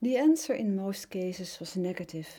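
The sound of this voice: Somewhat breathy, a woman with a Dutch accent shows very wide pitch swings in a dark, mellow tone.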